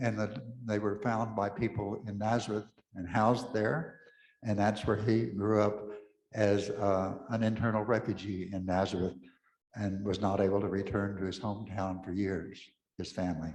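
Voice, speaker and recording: At a moderate pace, a voice with a West Texas accent keeps a fairly even intonation, with audible room echo around it. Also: man. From West Texas (Pecos). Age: 80s+. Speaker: Episcopal priest. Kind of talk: talk to an audience.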